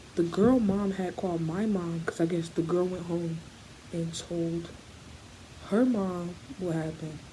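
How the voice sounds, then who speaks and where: A woman is speaking. Her voice is quiet. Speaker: vlogger. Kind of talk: story time. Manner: quiet, low; halting.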